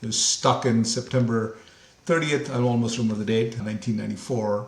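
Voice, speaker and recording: Amid noticeable background noise and audible room echo, a man talks at a very fast pace with a medium-pitched voice. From India, Mumbai. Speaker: company CEO. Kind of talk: interview conversation.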